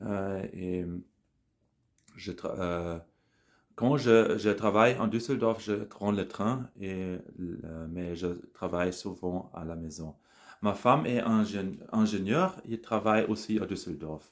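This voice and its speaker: Very slow speech in a German accent, broken by long, frequent pauses, on a very clean recording with a silent background. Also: man, fairly low pitch for a man, ordinary pitch variation. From Germany, Bonn area. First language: German (speaking French). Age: 40s. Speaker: language learner, scientific employee. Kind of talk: casual monologue practising a foreign language. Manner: halting, many hesitations.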